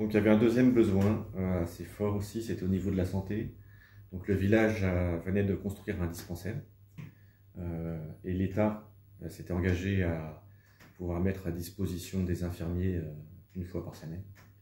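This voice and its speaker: The voice is somewhat breathy, with fairly even intonation, at a moderate pace. Long, frequent pauses and audible room echo mark the clip. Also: man, very deep, low pitch for a man. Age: 40s. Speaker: humanitarian volunteer. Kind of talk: testimony interview. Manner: hesitant, many fillers.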